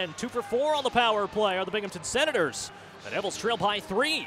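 Raising and projecting his voice, a man speaks at a fairly quick pace with lively intonation. His tone is energetic and animated, with noticeable background noise. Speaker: hockey play-by-play announcer. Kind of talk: live sports commentary, play-by-play of hockey highlights. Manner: fast, energetic.

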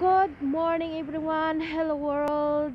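Over light background noise, a woman talks at a very slow pace in a dry sound with no echo. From Philippines, Bohol (Visayas). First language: Cebuano (Bisaya) (speaking Tagalog). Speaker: vlogger. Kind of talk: casual vlog talk to viewers. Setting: outdoors waiting for train/bus on way to work. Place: street. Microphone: earbuds.

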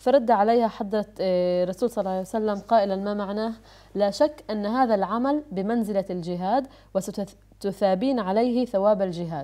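Her tone is dark and mellow, with ordinary pitch variation. The woman keeps a moderate pace. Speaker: TV presenter. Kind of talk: religious talk show discussion. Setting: studio. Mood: calm, earnest religious narration. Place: studio.

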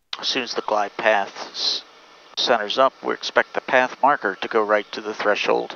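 A man speaks at a moderate pace with a fairly low pitch and ordinary pitch variation. The sound is dry with no echo, over light background noise. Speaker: pilot instructor. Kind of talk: in-flight tutorial demonstration. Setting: aircraft cockpit in flight. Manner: calm, instructive, coaching, with light humor.

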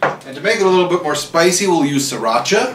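Noticeable background noise comes through behind a man as he speaks. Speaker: home cook vlogger. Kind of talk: casual cooking tutorial. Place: kitchen. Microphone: camera far.

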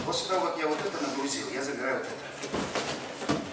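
Over loud background noise and with audible room echo, a man talks at a moderate pace. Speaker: martial arts instructor. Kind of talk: tutorial. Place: gym. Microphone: camera far.

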